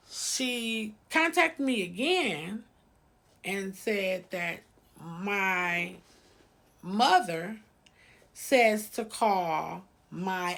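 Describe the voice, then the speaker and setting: A woman talks at a medium pitch with lively intonation. The recording is very clean, with a silent background. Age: 50s. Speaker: cooking channel host sharing personal story. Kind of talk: personal storytelling vlog. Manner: casual, with many filler ums.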